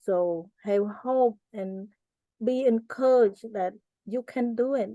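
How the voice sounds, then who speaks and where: A woman with a Cambodian accent, dark, mellow tone and fairly high pitch, at a very slow pace with fairly even intonation, in a dry, close sound with no echo. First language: Cambodian (Khmer). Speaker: genocide survivor and author. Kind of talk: interview.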